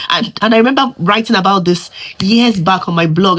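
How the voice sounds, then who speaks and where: A woman speaks at a fairly quick pace with a Nigerian accent and lively intonation. Her pitch is medium, and there is noticeable background noise. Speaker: immigrant. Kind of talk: casual talk to camera.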